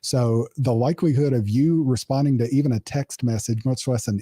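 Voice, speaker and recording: On a very clean recording with a silent background and a dry, close sound with no echo, a man with an American accent speaks at a moderate pace and medium pitch, somewhat breathy, with a dark, mellow tone and ordinary pitch variation. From US East Coast. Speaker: cybersecurity consultant. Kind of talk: technical interview discussion.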